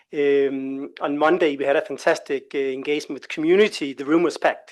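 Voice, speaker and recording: A man with a Danish accent against a quiet background. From Denmark. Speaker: labour organisation expert presenter. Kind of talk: presentation at a workshop. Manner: hesitant, with many fillers.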